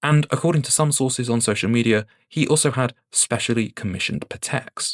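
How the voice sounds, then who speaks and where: A man with a British accent talks at a fairly quick pace and medium pitch, with ordinary pitch variation. The sound is dry and close with no echo. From UK. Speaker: watch YouTuber. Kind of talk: scripted video commentary.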